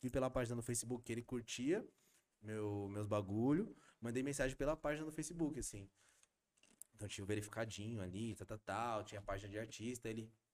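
A man at medium pitch with an animated tone, ordinary pitch variation, a fairly quick pace and long, frequent pauses. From São Paulo, East Zone. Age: 30s. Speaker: rapper. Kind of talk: casual interview chat. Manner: animated, slangy.

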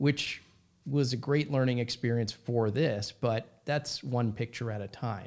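Speaking with an American accent in a normal speaking voice, a man of medium pitch talks at a fairly slow pace with fairly even intonation. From US Midwest, Minnesota. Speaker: comedy company CEO. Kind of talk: casual interview.

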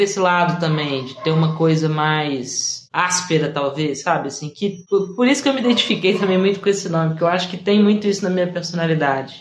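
A woman talks at a medium pitch and a fairly quick pace with hardly any pauses. Noticeable background noise runs underneath. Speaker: singer-songwriter. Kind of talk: interview. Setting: live stream. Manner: halting.

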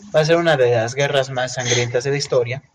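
With a Mexican accent, a man is talking. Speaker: podcast co-host. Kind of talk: casual chat.

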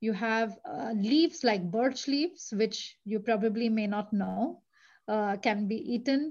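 Her voice is fairly high and somewhat breathy, and this woman talks at a fairly slow pace with ordinary pitch variation. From India. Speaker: tourism marketing manager. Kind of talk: interview.

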